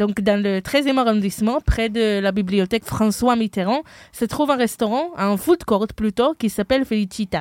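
A woman with an ordinary speaking voice talks at a moderate pace and a fairly high pitch. The sound is dry and close, with no echo. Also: ordinary pitch variation, very clean recording, silent background. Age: 20s. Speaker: podcast host, international student. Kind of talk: casual chat.

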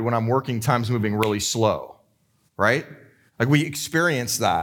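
A man talks in a plain, everyday voice at medium pitch with ordinary pitch variation. He keeps a moderate pace on a very clean recording with a silent background. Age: 40s. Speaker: pastor. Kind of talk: sermon.

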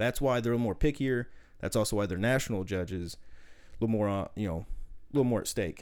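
With a slight Southern US accent, a man speaks at medium pitch and a very fast pace, with ordinary pitch variation and long, frequent pauses, in a very clean recording with a silent background. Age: 30s. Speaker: powerlifter. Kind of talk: casual chat.

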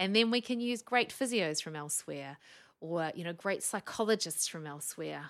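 In a New Zealand accent, a woman speaks at a fairly low pitch and moderate pace with an animated tone and ordinary pitch variation, on a very clean recording with a silent background. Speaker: speech pathologist. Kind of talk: casual interview. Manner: animated, laughs often.

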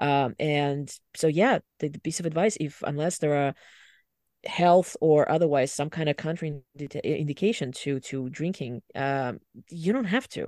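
The speech is delivered at a moderate pace. The recording is very clean, with a silent background. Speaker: podcast co-host. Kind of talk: casual chat.

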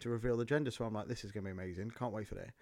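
A man talks with fairly even intonation. The recording is very clean, with a silent background. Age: 30s. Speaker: podcast co-host, father. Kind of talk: casual chat. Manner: halting, many fillers.

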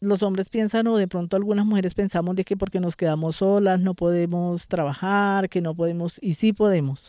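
Delivered at a moderate pace with very even loudness, the dark, mellow voice keeps a fairly even intonation on a very clean recording with a silent background. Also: woman. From Colombia, Tolima (rural Chaparral). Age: 50s. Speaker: farmer and community leader. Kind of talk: interview testimony. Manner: halting, with repetitions.

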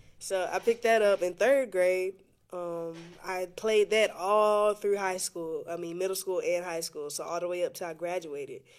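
In a very clean recording with a silent background, a woman with an unremarkable speaking voice talks at a moderate pace and medium pitch, her intonation fairly even. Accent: American. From Florida Panhandle (Pensacola). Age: 20s. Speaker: musician and personal trainer. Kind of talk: casual interview.

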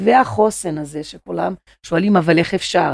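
Her pitch fairly low with ordinary variation, a woman speaks at a moderate pace with vocal fry. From Brazil, Rio de Janeiro. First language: Portuguese (speaking Hebrew). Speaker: psychoanalytic therapist. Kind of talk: podcast interview. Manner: halting.

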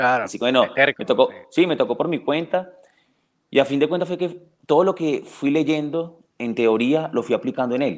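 A man talks at a fairly quick pace in an unremarkable speaking voice, with ordinary pitch variation. His pitch is fairly high, and the recording is very clean with a silent background. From Venezuela, Caracas. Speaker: dog trainer. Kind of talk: interview.

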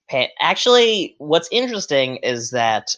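With an animated tone and lively intonation, a man speaks at a fairly slow pace. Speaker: podcast host. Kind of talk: casual banter chat. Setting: livestream with chat. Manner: joking, animated.

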